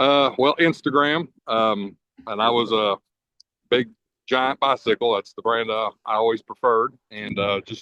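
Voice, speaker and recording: A man with a Kentucky accent talks at a fairly slow pace with ordinary pitch variation. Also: medium pitch for a man. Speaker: diesel mechanic, podcast guest. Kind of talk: personal testimony in casual interview. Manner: halting, many fillers and stutters.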